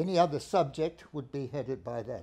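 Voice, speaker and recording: A man talks at a moderate pace in a dark, mellow tone. His pitch varies in an ordinary way. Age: 80s+. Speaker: startup founder, epidemiologist. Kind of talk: startup pitch. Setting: live event with audience. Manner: halting. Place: studio.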